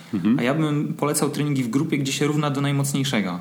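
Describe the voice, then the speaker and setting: Speaking very fast in a fairly high voice, a man uses ordinary pitch variation in a room with audible echo and noticeable background noise. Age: 30s. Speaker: running coach. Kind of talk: casual chat.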